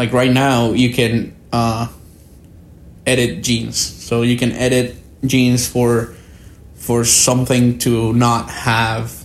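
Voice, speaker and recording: A man's medium-pitched voice in a Spanish accent, monotone and flat. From Guatemala. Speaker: podcast guest, researcher. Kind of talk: casual interview chat.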